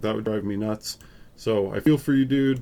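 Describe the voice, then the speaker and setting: Fairly even in intonation, this man talks at a moderate speed in an ordinary speaking voice of medium pitch. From Upstate New York. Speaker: photography youtuber. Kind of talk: casual live stream chat. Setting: live stream at home. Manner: casual, filler-heavy.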